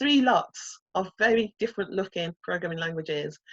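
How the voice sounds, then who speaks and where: With a Brummie accent, a woman speaks at a moderate pace and ordinary pitch variation in a dry, close sound with no echo. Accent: Brummie (Birmingham). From England, Birmingham. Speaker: coding instructor. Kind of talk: online workshop lecture.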